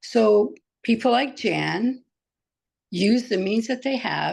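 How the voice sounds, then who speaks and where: The voice carries vocal fry and shows ordinary pitch variation. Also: woman, quiet background. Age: 70s. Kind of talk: panel discussion. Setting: webinar video call.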